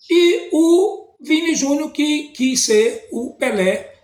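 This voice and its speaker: A man with lively intonation. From Brazil. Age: 60s. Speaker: teacher and commentator. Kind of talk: post-match opinion monologue. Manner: halting, many repetitions.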